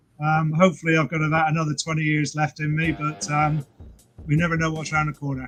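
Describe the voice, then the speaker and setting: Over music in the background, a man speaks at a very fast pace in a flat monotone. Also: fairly high pitch for a man. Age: 60s. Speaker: fitness YouTuber. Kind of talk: casual chat.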